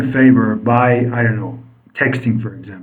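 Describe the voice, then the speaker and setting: A man speaks at medium pitch. Audible room echo surrounds his voice. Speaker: English teacher. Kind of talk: interview.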